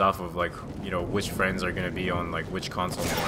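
A man speaks over noticeable background noise. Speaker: gaming commentator. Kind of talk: casual gameplay commentary.

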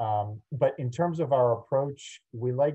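A man is speaking. The background is quiet. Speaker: architect giving a lecture. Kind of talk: lecture. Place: home room. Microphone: video call.

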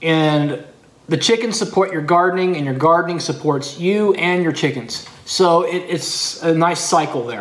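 A man with an American accent, fairly high pitch, ordinary pitch variation, a fairly bright tone and a moderate pace

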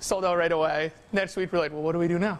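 Delivered at a fast pace, the speech keeps a fairly even intonation. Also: man, fairly high pitch for a man.

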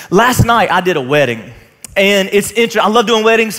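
Crowd noise fills the background while the speech moves at a moderate pace. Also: man. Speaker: pastor. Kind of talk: sermon. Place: stage. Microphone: headset.

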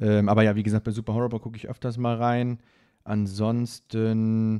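The man's tone is dark and mellow, set against a quiet background. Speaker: streamer reacting to videos. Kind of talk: casual commentary. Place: home room.

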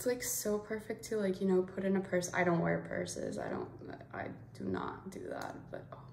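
A woman's voice at a moderate pace, with light background noise and audible room echo. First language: Spanish. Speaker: beauty YouTuber. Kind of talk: casual unboxing vlog. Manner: animated. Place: home room. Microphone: phone near.

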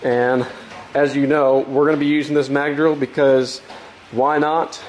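A man's moderate-paced speech comes through light background noise. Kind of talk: casual workshop vlog explanation. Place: workshop. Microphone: phone near.

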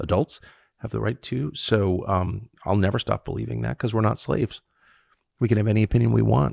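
Against a quiet background, a man with a very deep, low pitch and vocal fry talks very fast, the sound dry with no echo. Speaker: podcast host. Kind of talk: interview answer. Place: home room. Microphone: studio mic.

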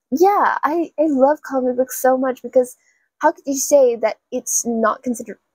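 With a quiet background and a dry sound with no echo, a woman speaks at a high pitch with lively intonation. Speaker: book vlogger. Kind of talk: casual vlog chat. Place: home room.

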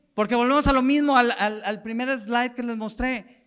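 An animated male voice against a quiet background. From Mexico. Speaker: marketing director at a football federation; conference speaker. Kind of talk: conference talk. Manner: casual, animated. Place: hall. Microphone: handheld.

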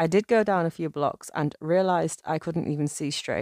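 With an unremarkable speaking voice, a woman talks at a fairly low pitch and moderate pace, with ordinary pitch variation, in a very clean recording with a silent background and a dry, close sound with no echo. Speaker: horror story narrator. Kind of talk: true-crime horror narration. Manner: measured, suspenseful, storytelling pace.

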